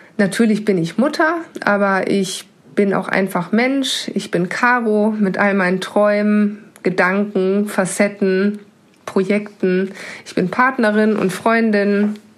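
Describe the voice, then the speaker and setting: A woman with a medium pitch speaks very slowly, her pitch varying in an ordinary way. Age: 30s. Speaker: financial controller. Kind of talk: pre-recorded personal testimony.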